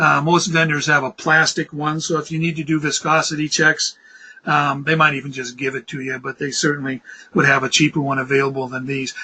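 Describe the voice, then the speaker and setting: A bright, sharp tone with fairly even intonation. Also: man. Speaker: spray efficiency trainer. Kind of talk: webinar presentation. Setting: online webinar. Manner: fast; hesitant, many fillers.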